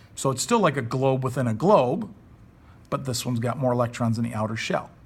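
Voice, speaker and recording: In a room with audible echo, a man speaks fairly quickly at a medium pitch, somewhat breathy, with ordinary pitch variation. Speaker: high school chemistry teacher. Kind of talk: recorded classroom lesson. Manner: fast; casual.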